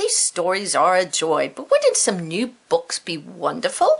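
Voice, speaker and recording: The delivery unfolds at a fairly slow pace. It is done in a put-on character voice. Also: woman. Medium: read story.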